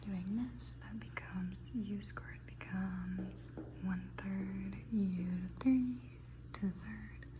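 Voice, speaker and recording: The speech is soft-spoken and delivered at a very slow pace. Noticeable background noise runs under it. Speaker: student. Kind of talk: ASMR study-with-me talk.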